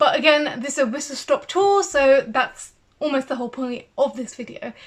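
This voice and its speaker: A high-pitched woman with a British accent, ordinary pitch variation and big swings in loudness. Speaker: CBT therapist and video creator. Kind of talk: tutorial. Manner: fast.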